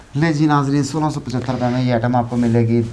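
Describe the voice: Fast and fairly even in intonation, a man speaks at a medium pitch with a dark, mellow tone.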